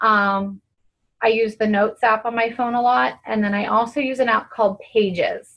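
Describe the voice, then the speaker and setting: A woman with a fairly high pitch and fairly even intonation speaks in an unremarkable speaking voice. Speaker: fitness coach. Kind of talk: team conference call talk.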